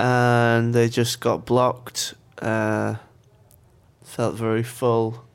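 A man talks very slowly, leaving long, frequent pauses. His medium-pitched voice stays monotone and flat. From York, northern England. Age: 20s. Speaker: interviewee describing his ear problems. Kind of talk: casual interview.

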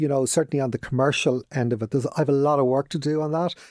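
In a Dublin accent, a man speaks at a fairly high pitch, the sound dry and close with no echo. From Dublin, Ireland. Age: 50s. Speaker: business owner. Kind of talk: casual interview.

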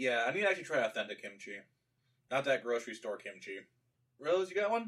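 Speaking at a very fast pace yet with long, frequent pauses, a man uses a fairly high pitch with very wide pitch swings. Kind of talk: casual chat. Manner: loud.

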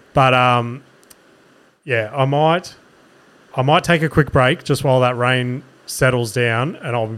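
At a fairly slow pace, a man with an Australian accent speaks in a medium pitch with ordinary pitch variation. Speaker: comedian podcast host. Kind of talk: solo casual podcast monologue. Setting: studio. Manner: rambling, casual, profane.

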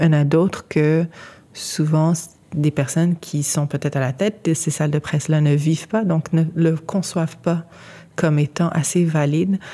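A woman with a very deep, low pitch, a dark and mellow tone, fairly even intonation and very even loudness. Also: moderate pace. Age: 30s. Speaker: journalist and editor. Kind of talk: interview conversation.

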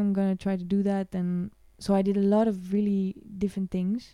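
Her tone is dark and mellow, at a medium pitch. This woman talks at a fairly quick pace. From Switzerland (Lausanne, French-speaking). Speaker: harpist. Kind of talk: casual chat. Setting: in person, same room.

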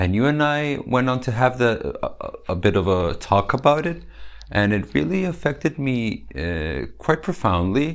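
Moving at a moderate pace, a man speaks at a medium pitch with very wide pitch swings. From Serbia. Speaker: LGBTQ rights activist. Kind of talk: interview.

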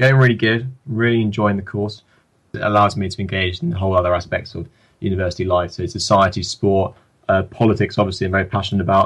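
A man with an English accent talks very fast in a fairly low pitch, with ordinary pitch variation, against a quiet background. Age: young. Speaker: politics student. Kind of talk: interview.

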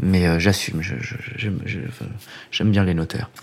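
A man's fairly low-pitched voice. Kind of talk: casual interview.

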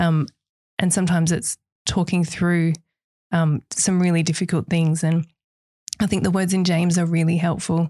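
In a dry, close sound with no echo and a very clean, silent background, a woman speaks at a fairly low pitch in a dark, mellow tone, monotone and flat, at very even loudness, with long, frequent pauses. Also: moderate pace. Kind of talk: casual faith discussion.

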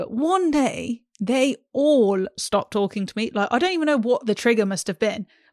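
Recorded very cleanly against a silent background, a woman with a British accent sounds dry and close with no echo. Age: 20s. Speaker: podcast co-host. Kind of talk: casual chat.

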